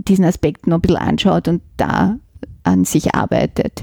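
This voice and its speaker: A woman's dark, mellow voice with vocal fry at a moderate pace, dry and close with no echo. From Vienna, Simmering. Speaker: literature professor. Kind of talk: interview.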